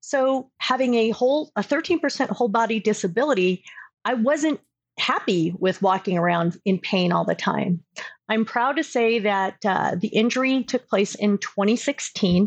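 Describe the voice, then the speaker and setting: A woman with an ordinary speaking voice and a General American accent, fairly high in pitch, with lively intonation, very even loudness and a moderate pace, in a dry, close sound with no echo over a quiet background. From Southern California. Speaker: career coach. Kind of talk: interview.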